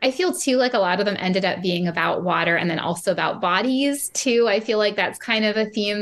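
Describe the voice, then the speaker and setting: A woman with an American accent talks at a fairly quick pace and medium pitch, with ordinary pitch variation, very even loudness and hardly any pauses. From San Francisco, US West Coast. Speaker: poet and librarian. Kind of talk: interview with poetry reading aloud. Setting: video call.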